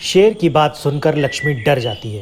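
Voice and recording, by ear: This man has a fairly high pitch and speaks at a moderate pace. His pitch swings widely.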